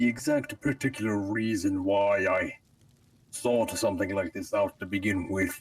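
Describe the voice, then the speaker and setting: Here a man puts on a character voice at medium pitch. He keeps a moderate pace. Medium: game stream. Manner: grandiose, dark.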